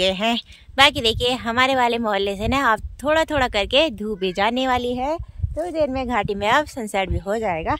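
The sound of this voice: The intonation is lively. The speaker keeps a moderate pace with few pauses. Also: woman, fairly bright tone.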